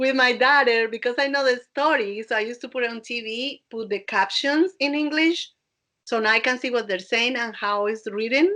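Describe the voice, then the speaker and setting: Her tone is bright and sharp, and her pitch is high. The woman keeps a moderate pace with ordinary pitch variation. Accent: Colombian. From Colombia, Barranquilla. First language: Spanish. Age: 50s. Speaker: dance instructor and DJ. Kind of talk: podcast interview.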